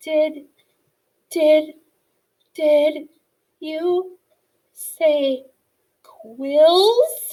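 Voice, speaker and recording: Pitched high, a woman's put-on character voice carries the speech. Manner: stammering, fearful.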